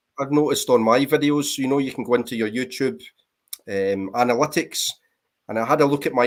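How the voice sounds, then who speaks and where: Talking at a very fast pace, a man with a Scottish accent keeps a medium pitch and fairly even intonation. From Scotland, Greenock near Glasgow. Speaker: military veteran and vinyl collector. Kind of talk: casual chat.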